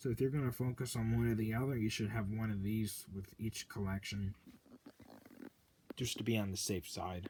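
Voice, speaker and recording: Somewhat breathy, a man speaks at a medium pitch and a moderate pace with ordinary pitch variation. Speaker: VHS collector video host. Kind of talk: casual unboxing commentary.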